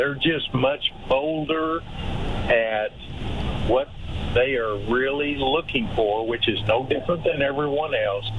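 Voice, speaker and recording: Speaking very slowly with an American accent, a man with a medium pitch keeps his loudness very even over noticeable background noise. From Texas. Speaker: workplace culture consultant and author. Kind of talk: radio interview. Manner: hesitant, many fillers.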